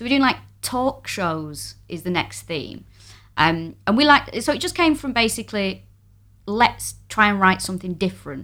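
With a Mancunian accent, a woman at medium pitch speaks at a moderate pace in a bright, sharp tone with very wide pitch swings, on a very clean recording with a silent background. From Manchester, northern England. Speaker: comedian. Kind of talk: casual chat.

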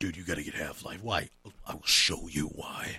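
A man growls in a put-on character voice pitched very deep and low. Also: moderate pace. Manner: insistent, hyped.

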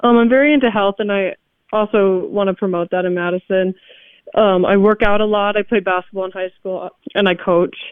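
In a normal speaking voice with an American accent, a woman talks at a fairly quick pace, her medium pitch held in fairly even intonation. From Wisconsin (Milwaukee). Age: 20s. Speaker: student and city council candidate. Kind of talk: interview.

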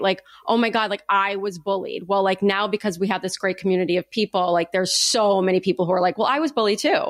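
Amid noticeable background noise, a woman with a medium-pitched voice speaks very fast with hardly any pauses, ordinary pitch variation and very even loudness, in a dry, close sound with no echo. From US, Italian-American family. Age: 30s. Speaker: podcast host. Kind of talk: casual chat. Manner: animated.

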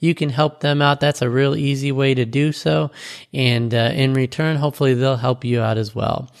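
A man with a plain, everyday voice talks at a moderate pace and medium pitch, with ordinary pitch variation and very even loudness. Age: 40s. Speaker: podcast host. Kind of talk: solo podcast monologue.

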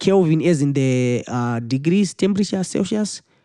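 A man with a Zimbabwean accent speaks in a dark, mellow tone. The sound is dry and close with no echo, over a quiet background. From Zimbabwe, Harare. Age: 20s. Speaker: musician and music teacher. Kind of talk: interview. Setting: studio.

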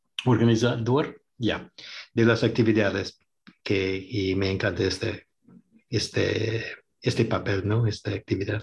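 Against a quiet background, a man with a fairly low, somewhat breathy voice speaks at a fairly slow pace, with long, frequent pauses and fairly even intonation. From New York, US. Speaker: bookstore marketing director and documentary maker. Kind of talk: casual radio interview. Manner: halting.

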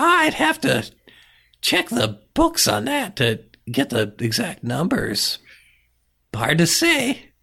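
A put-on character voice at a middle pitch, very slow in pace, with long, frequent pauses. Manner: chirpy, wheedling, greedy.

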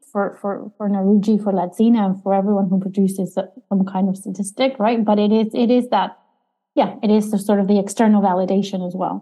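A somewhat breathy woman speaks at a fairly quick pace with a medium pitch. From Argentina. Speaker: economics professor. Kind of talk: interview.

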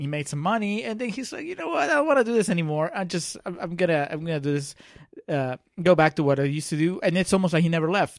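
With a non-native accent, a man at a high pitch speaks at a very fast pace with ordinary pitch variation. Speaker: film podcast co-host. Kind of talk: casual chat.

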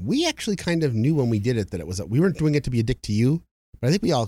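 A man's dark, mellow tone at a very fast pace, with very wide pitch swings and a dry, close sound with no echo. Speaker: podcast co-host. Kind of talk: casual chat about tabletop gaming.

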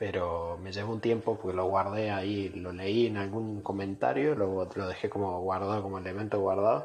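This man talks at a moderate pace in a fairly low, somewhat breathy voice with fairly even intonation. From Córdoba, Argentina. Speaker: listener sending voice message. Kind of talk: recorded voice message. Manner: halting.

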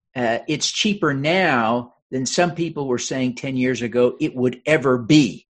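A man talks at a fairly slow pace with a medium pitch, in a plain, everyday voice. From Utah. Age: 50s. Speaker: congressional candidate and author. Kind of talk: interview.

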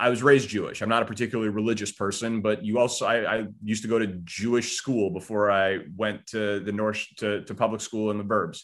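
With a normal speaking voice and an American accent, a man talks at a fairly quick pace in a fairly low pitch, his intonation fairly even against a quiet background. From Chicago suburbs, Illinois. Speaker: sports radio host. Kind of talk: interview.

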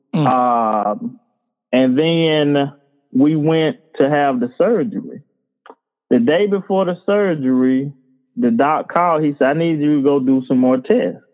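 In a Georgia accent, a man speaks at a fairly slow pace with long, frequent pauses and very even loudness. His pitch is fairly high and his intonation lively. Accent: Southern US (Georgia). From US South, Bainbridge, Georgia. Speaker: high school coach and author. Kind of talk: casual interview, personal testimony.

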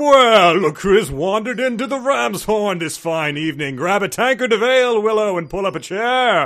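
A man's put-on character voice, high-pitched, at a moderate pace with hardly any pauses. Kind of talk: archaic fantasy speech. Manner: warm, welcoming, jovial.

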